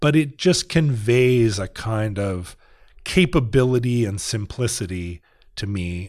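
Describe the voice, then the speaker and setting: Against a quiet background, a man with an unremarkable speaking voice talks at a medium pitch and a fairly slow pace with lively intonation. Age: 40s. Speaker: podcaster and rock musician. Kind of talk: casual chat. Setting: studio.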